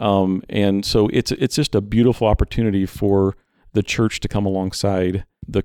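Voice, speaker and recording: A man speaks with a fairly low pitch and a dark, mellow tone. The sound is dry and close with no echo, on a very clean recording with a silent background. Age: 40s. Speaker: nonprofit ministry leader. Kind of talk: interview.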